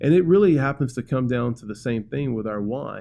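With a Southern US accent, a man speaks at a medium pitch in a dark, mellow tone with lively intonation. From US South, Birmingham, Alabama. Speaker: pastor. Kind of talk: casual chat.

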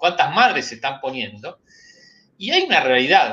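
A man speaks at a fairly slow pace. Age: 60s. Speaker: animal science engineer, pork industry association leader. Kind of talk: interview.

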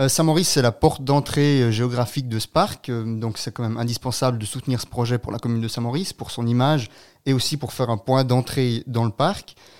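A man with an unremarkable speaking voice talks at a fairly quick pace and medium pitch, with ordinary pitch variation. The recording is very clean, with a silent background. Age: 20s. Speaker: local election candidate, student. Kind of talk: radio interview. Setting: studio.

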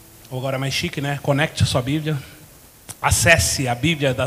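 Speaking at a fairly high pitch and a moderate pace, a man leaves long, frequent pauses over noticeable background noise. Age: 40s. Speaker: pastor. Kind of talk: sermon. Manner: animated.

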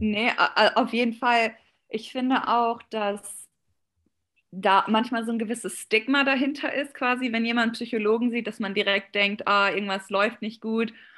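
In an unremarkable speaking voice, a woman with a fairly high pitch speaks at a fairly slow pace and fairly even intonation against a quiet background. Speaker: competitive swimmer. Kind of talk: interview. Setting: video call.

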